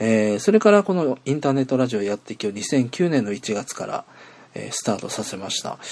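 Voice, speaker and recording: Speaking at a fairly quick pace, a man with a plain, everyday voice keeps a medium pitch and lively intonation. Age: 40s. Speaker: internet radio host. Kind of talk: casual solo podcast monologue. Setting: outdoors at a train station.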